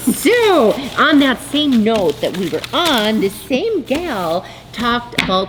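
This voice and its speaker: A woman speaks over noticeable background noise. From North Dakota. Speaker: fiber arts business owner and channel host. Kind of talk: casual chat. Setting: video recording, sitting alone at camera.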